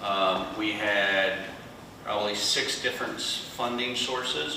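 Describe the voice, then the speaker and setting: The delivery is fairly slow and monotone with flat intonation, set against noticeable background noise and audible room echo. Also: man. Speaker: conservation nonprofit panelist. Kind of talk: panel discussion. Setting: workshop with small live audience. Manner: loud. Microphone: no microphone, room sound.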